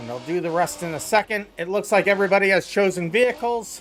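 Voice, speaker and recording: Music plays in the background as a man speaks. His pitch is high, with ordinary pitch variation. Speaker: race event host and streamer. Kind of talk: live commentary. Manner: breathing heavily.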